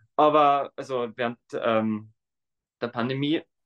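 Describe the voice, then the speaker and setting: This man has an Austrian accent and a medium pitch. His intonation stays fairly even. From Tyrol, Austria. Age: 20s. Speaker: dancer and primary school teacher. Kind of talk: interview.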